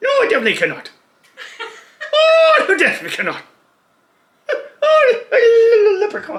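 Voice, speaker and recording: Putting on a character voice in an Irish accent, the speaker uses an extremely high pitch at a moderate pace, with long, frequent pauses. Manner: attempted, self-admittedly poor imitation.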